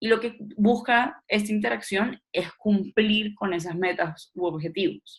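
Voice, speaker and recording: A woman speaks at a fairly slow pace, somewhat breathy, with ordinary pitch variation. She hardly pauses at all. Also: medium pitch for a woman. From Colombian Caribbean coast, Barranquilla. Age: 20s. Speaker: political scientist, trainer. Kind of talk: lecture.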